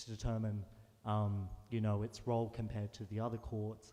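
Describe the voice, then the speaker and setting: Dark, mellow tone from a man with an Australian accent, at medium pitch and a moderate pace. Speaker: audience member asking a question, law student. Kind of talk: audience question. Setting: cathedral event, roving microphone.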